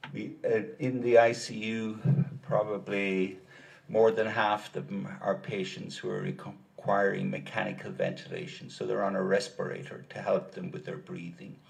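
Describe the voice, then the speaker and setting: In an Irish accent, a man at medium pitch speaks at a moderate pace with very wide pitch swings and big swings in loudness, and the room echo is audible. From Ireland, rural County Kilkenny. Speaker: doctor, expert witness. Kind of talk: courtroom testimony. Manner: measured, explanatory.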